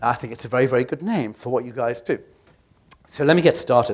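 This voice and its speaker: Talking at a very fast pace, a man with a British accent speaks in a medium pitch. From UK. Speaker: healthcare tech advisor. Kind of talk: conference presentation. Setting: stage with audience. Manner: hesitant with fillers.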